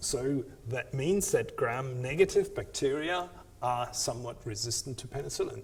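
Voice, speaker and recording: Audible room echo surrounds a man's speech. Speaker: university lecturer. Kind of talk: lecture. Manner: halting, many fillers and repeats.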